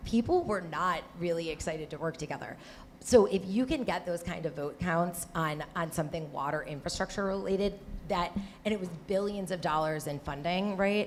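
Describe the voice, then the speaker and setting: A woman with an American accent, fairly low in pitch, at a moderate pace with ordinary pitch variation. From Michigan, suburbs between Detroit and Flint. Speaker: water policy advocate and former Senate staffer. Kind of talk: panel discussion.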